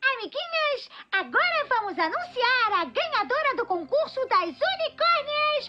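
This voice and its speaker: In a put-on character voice, a female-sounding speaker talks at an extremely high pitch and a moderate pace. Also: hardly any pauses. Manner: bubbly, sweet.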